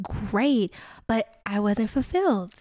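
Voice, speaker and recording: The recording is very clean, with a silent background. It carries a normal speaking voice. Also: woman. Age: 30s. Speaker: wine company founder. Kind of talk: interview.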